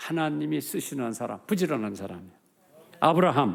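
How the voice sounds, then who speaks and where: A man talks with very wide pitch swings. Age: 80s+. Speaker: pastor. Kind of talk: sermon. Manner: animated.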